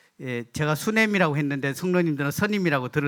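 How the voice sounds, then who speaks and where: A man's fairly high voice with ordinary pitch variation and a Gyeongsang accent. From South Korea, Gyeongsang (Daegu area). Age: 50s. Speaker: guest preacher. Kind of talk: sermon. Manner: halting, many fillers.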